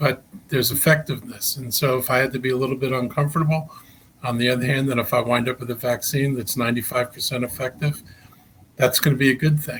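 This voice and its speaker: Speaking at a very fast pace, a man keeps a medium pitch and a monotone, flat intonation. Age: 70s. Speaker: county executive, politician. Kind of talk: interview. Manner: halting, many fillers and repetitions.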